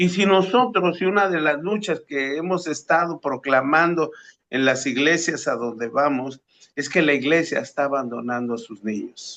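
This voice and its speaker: At a moderate pace, a man speaks in a fairly high voice with a bright, sharp tone against a quiet background. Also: lively intonation. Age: 70s. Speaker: pastor. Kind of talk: religious discussion. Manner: halting.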